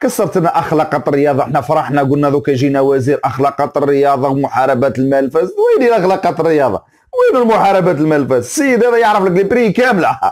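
Against a quiet background, a speaker with an Algerian accent talks at a fairly quick pace, with hardly any pauses, very even loudness, lively intonation and an animated tone. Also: man, fairly high pitch for a man. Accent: Algerian Arabic with French words. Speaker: football commentator YouTuber; sports commentator. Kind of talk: opinion rant video. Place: home room. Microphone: lapel.

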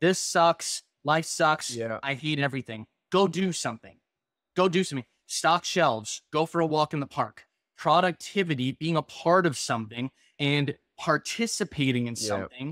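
A man talks at a moderate pace with lively intonation. The background is quiet and the sound is dry with no echo. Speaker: podcast host. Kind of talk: casual podcast conversation. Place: home room.

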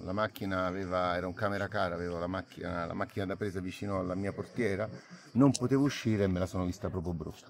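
A man with a very deep, low voice talks very fast in a dry recording with no echo and light background noise. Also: fairly even intonation. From Naples, Italy. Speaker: actor. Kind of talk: interview answer. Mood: calm, reflective. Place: garden. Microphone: phone near.

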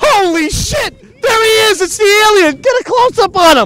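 Shouting at an extremely high pitch, this voice moves at a moderate pace.

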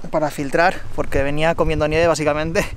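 The sound is dry with no echo, over light background noise. A man speaks with monotone, flat intonation. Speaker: bikepacking vlogger. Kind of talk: casual vlog chat. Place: open country. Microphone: phone near.

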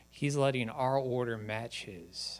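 The speaker is a man. He talks at a fairly slow pace. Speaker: preacher. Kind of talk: sermon. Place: church. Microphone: handheld.

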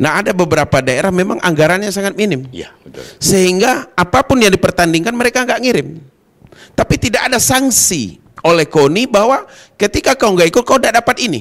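Talking at a fairly quick pace, a man with a high pitch makes very wide pitch swings over a quiet background. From Kerinci, Jambi, Indonesia; Jambi, Indonesia. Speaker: provincial legislator; guest. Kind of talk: TV talk show interview. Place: studio. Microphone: handheld.

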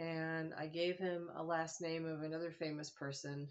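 The speaker is a woman. Her pitch is fairly low. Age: 50s. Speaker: vlogger. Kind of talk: casual monologue. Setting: living room at home, phone camera. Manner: halting, many fillers.

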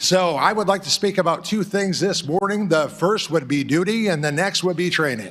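A man with a high pitch talks at a moderate pace, barely pausing, with ordinary pitch variation. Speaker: public commenter at county meeting. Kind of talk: public comment. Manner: announcer-like delivery.

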